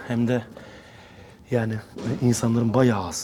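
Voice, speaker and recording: Music plays in the background as a man speaks at a fairly quick pace. His medium-pitched voice stays flat and monotone. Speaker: fitness vlogger, bodybuilder. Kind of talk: casual gym vlog talk. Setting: gym. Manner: hesitant, many fillers.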